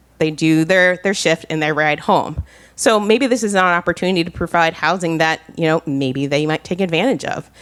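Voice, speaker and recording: In an ordinary speaking voice, a woman with an American accent talks at a fairly quick pace, her pitch fairly low and her pitch variation ordinary. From New Jersey. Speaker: town planner. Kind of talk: conference presentation.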